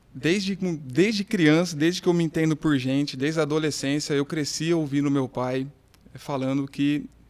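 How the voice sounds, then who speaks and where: An unremarkable speaking voice from a man, fairly high in pitch, with ordinary pitch variation at a moderate pace. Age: 30s. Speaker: business owner. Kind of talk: casual podcast interview.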